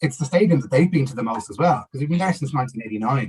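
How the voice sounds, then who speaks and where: Somewhat breathy, a man speaks at a medium pitch with lively intonation. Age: 30s. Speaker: football campaigner. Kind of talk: casual interview. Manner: halting, many fillers.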